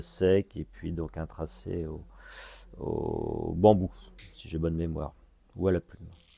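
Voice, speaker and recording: In a dark, mellow tone, the speaker talks at a very slow pace with fairly even intonation. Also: man. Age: 50s. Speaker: artist and arts association founder. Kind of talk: interview. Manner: halting, many hesitations.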